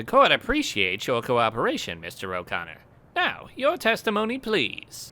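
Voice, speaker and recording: A put-on character voice at a moderate pace. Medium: dub.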